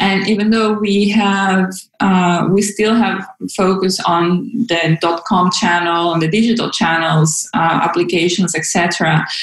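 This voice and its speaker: Amid noticeable background noise and audible room echo, a woman with a Spanish accent speaks at a medium pitch with very even loudness. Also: fairly even intonation. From Venezuela, Caracas. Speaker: localization program manager. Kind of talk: interview. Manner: halting, many fillers.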